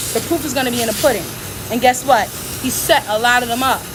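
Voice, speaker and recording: Loud and animated, a woman speaks over noticeable background noise. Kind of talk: livestream monologue. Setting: hospital bed.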